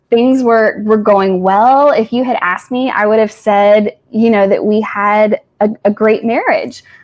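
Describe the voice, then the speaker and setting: A fairly high-pitched woman at a fairly slow pace, with fairly even intonation. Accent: slight Tennessee. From Tennessee. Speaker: social worker sharing personal story. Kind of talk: testimony. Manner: casual, hesitant with fillers.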